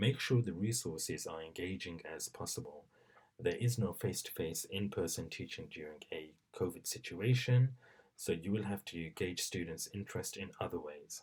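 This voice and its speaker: Soft-spoken and somewhat breathy, a man talks at a moderate pace and a fairly low pitch with ordinary pitch variation. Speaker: teacher. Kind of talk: tutorial. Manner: hesitant.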